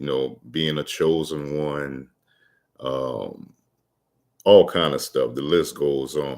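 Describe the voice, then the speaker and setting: A man speaks with a Louisiana accent. His pace is very slow. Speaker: motivational vlogger. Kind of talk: casual livestream monologue. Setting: livestream. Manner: halting, many fillers.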